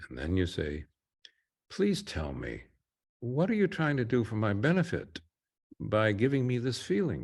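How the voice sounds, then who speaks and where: Speaking at a moderate pace with long, frequent pauses, a man with a medium pitch and a gentle, somewhat breathy tone makes very wide pitch swings against a quiet background. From California. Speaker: therapist leading a guided session. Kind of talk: guided therapy session.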